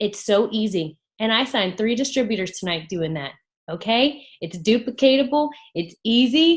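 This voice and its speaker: A woman speaks at a moderate pace in a somewhat breathy, fairly high voice. Her tone is animated, with very wide pitch swings. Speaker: network marketing team leader. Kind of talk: team training call.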